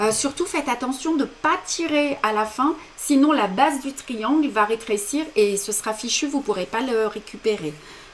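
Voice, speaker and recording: Against noticeable background noise, a woman with a high pitch talks with lively intonation and hardly any pauses. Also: moderate pace. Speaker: embroidery teacher. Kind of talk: tutorial. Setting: live stream.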